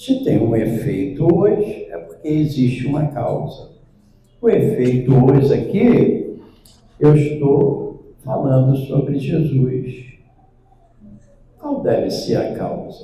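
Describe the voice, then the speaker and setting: With audible room echo, a man speaks at a very slow pace, leaving long, frequent pauses. His pitch is fairly high and his intonation lively. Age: 70s. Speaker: spiritist lecturer. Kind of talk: lecture.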